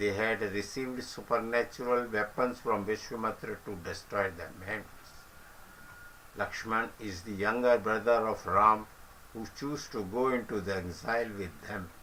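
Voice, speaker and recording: A man with an Indian accent, fairly low in pitch, at a moderate pace with fairly even intonation over noticeable background noise. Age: old. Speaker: senior citizen sharing reminiscences. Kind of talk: reminiscence talk and story retelling.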